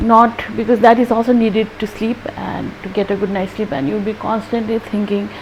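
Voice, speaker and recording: Speaking at a moderate pace, a woman keeps a fairly even intonation against noticeable background noise. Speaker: dentist sharing health tips. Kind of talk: health vlog talk.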